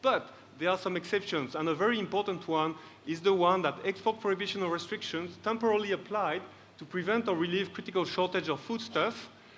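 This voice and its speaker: Here a man talks at a very fast pace. His pitch is high, with ordinary variation. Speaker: trade policy expert panelist. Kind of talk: conference presentation.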